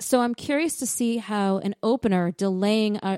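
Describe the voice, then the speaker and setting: At a fairly slow pace, a woman speaks at medium pitch in an animated tone with ordinary pitch variation, in a very clean recording with a silent background and a dry, close sound with no echo. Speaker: sports podcast co-host. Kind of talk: casual banter. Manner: animated, joking.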